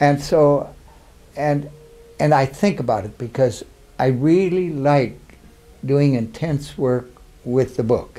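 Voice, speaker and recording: Someone with an Upper Midwest accent speaks at a fairly slow pace with ordinary pitch variation and long, frequent pauses, against noticeable background noise. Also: man. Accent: Upper Midwest American. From Minnesota. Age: 80s+. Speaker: war veteran. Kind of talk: oral history interview. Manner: halting.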